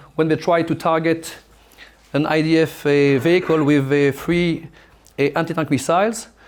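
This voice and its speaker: A man with a French accent speaks at a fairly high pitch. His intonation is flat and monotone. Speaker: military officer and lecturer. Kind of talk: lecture. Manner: halting, many fillers.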